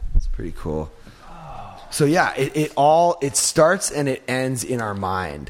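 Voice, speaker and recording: An animated man's voice, fairly high in pitch, at a fairly slow pace, with very wide pitch swings and big swings in loudness. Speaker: podcast host. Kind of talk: casual chat. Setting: studio.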